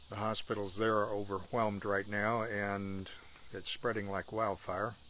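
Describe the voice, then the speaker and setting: Fairly low-pitched male voice with light background noise. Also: dry sound with no echo. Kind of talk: casual vlog chat. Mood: warm, relaxed. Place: garden. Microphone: phone near.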